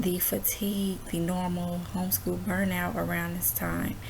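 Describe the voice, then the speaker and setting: Over audible room echo, a woman is whispering quietly at a moderate pace. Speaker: homeschooling mom vlogger. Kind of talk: casual chat. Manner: quiet, near whisper; halting, many fillers.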